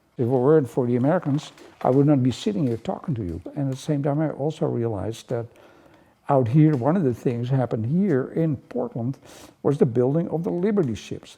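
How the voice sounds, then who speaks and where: Someone with a Dutch accent speaks at a fairly quick pace with lively intonation. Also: man. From Netherlands. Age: 80s+. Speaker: painter. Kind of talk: interview. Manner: halting.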